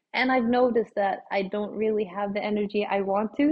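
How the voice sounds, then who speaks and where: This woman talks at a moderate pace with a Swedish accent. Her pitch sits in the medium range. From Sweden. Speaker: obstacle course racer. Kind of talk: interview.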